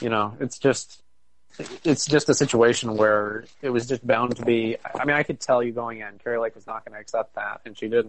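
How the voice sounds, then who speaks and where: A man with an American accent talks at a medium pitch in an ordinary speaking voice. His intonation is fairly even, but his loudness swings widely. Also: moderate pace. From Arizona (Phoenix area). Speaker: podcast co-host. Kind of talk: casual chat.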